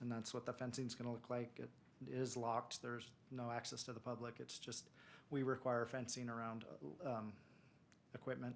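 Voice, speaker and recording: A man mumbles in a monotone, flat intonation. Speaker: city planning staff. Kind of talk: staff presentation at council meeting. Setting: city council meeting. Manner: mumbling.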